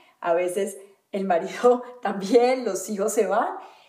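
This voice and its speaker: Audible room echo around a woman's fairly slow, medium-pitched speech. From Colombia, Valle del Cauca. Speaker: holistic wellness teacher. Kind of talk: interview conversation.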